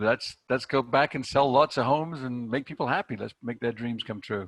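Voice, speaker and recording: A man's medium-pitched voice with ordinary pitch variation, dry and close with no echo, against a quiet background. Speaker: sales trainer. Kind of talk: online training presentation. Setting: video call. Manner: fast; animated.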